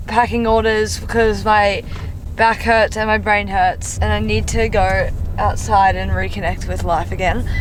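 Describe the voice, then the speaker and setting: A woman speaks at a fairly slow pace. Audible room echo and noticeable background noise surround her voice. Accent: Australian. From Australia. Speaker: vlogger and college athlete. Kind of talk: casual vlog narration. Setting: outdoors.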